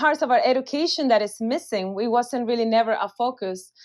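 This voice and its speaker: A woman talks in a Spanish accent. Her pitch sits fairly high. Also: quiet background. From Venezuela. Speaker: physician, weight loss clinic director. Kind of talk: interview. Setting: podcast.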